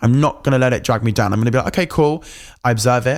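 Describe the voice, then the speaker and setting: A man talking at a very fast pace in an animated tone. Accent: English. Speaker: podcast host. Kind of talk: casual rant monologue.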